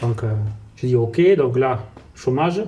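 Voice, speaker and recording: A man with a medium pitch speaks at a fairly slow pace. His voice is somewhat breathy, with ordinary pitch variation. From France, Portuguese family. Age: 30s. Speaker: salesman, sales manager. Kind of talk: podcast interview, life story. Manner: casual, many fillers.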